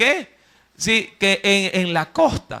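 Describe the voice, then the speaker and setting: A man speaks in a raised, projected voice. His tone is bright, sharp and animated. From Ecuador, coast (Guayaquil). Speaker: preacher. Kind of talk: sermon. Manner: animated storytelling.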